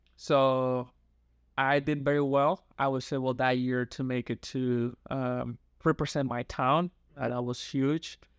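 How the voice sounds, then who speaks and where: Recorded very cleanly with a silent background and a dry, close sound with no echo, a man with a Dominican accent speaks fairly slowly in a flat monotone. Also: medium pitch for a man. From Dominican Republic (San Pedro de Macorís). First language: Spanish. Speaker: youth pastor and counseling student. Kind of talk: interview conversation.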